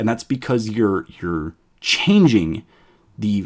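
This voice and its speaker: A man with an ordinary speaking voice talks at a moderate pace and medium pitch with lively intonation. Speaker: programming educator. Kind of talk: live-streamed coding tutorial. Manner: casual, filler-heavy explanation.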